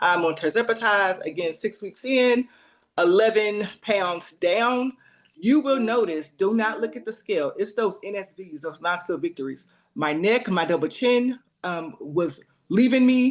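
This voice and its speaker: A woman uses an ordinary speaking voice at medium pitch. She talks at a fairly slow pace with lively intonation. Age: 40s. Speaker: nurse practitioner. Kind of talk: testimony.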